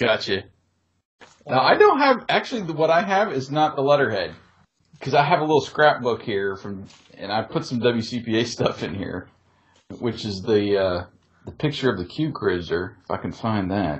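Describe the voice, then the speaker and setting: A man's somewhat breathy voice moves at a moderate speed, the pitch swinging very widely. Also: medium pitch for a man. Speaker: podcast host and former radio DJ. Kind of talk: casual nostalgic podcast chat with friendly DJ-style host patter. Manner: warm, easygoing, conversational.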